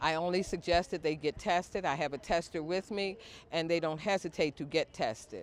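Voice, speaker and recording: In a very clean recording over total silence, the words come at an even, medium speed. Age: 60s. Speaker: HIV outreach educator. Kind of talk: interview testimony.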